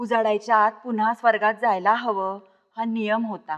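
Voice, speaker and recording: Her intonation monotone and flat, a woman talks in a fairly high register. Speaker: professor and story reader. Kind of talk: story reading (abhivachan), narration with character dialogue. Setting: recorded reading for a literary series.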